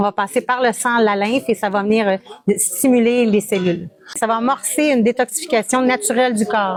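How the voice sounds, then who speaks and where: A woman with a slight Quebec accent speaks at a fairly high pitch with ordinary pitch variation and very even loudness, the sound dry and close with no echo amid noticeable background noise. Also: moderate pace. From Quebec, Montreal. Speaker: wellness practitioner. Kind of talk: interview. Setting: wellness trade fair.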